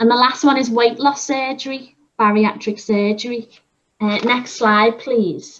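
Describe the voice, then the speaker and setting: A woman with an ordinary speaking voice speaks at a fairly slow pace and a fairly high pitch, with fairly even intonation. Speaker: dietitian giving a health talk. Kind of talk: online presentation. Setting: video call.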